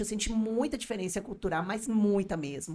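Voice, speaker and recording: This woman's medium pitch shifts in an ordinary way, heard on a very clean recording over a silent background. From Colombia, Barranquilla (Caribbean coast). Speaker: business owner and language school owner. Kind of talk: podcast interview.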